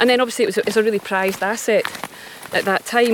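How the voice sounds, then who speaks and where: With a Scottish accent and fairly even intonation, the voice comes through noticeable background noise. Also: woman. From Scotland. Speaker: folk singer-songwriter. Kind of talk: casual interview. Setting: outdoors on a walk.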